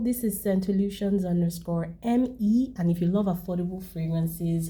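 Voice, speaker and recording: A woman's voice comes through somewhat breathy, with a dark, mellow tone. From Nigeria. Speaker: fragrance reviewer. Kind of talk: product review.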